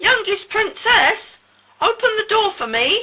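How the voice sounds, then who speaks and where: A woman does a put-on character voice that is extremely high-pitched, squeaky and croaky, delivered at a fairly slow pace. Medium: read story. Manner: insistent.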